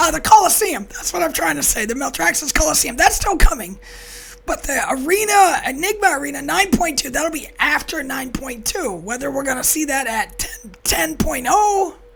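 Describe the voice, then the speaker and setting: Moving at a moderate pace, a woman speaks with very wide pitch swings. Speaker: gaming video host. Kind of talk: casual gaming news update to camera.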